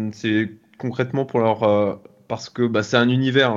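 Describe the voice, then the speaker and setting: Over a quiet background, a man speaks fairly slowly at a medium pitch. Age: 40s. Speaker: business angel investor. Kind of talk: interview. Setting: video call. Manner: hesitant, many fillers.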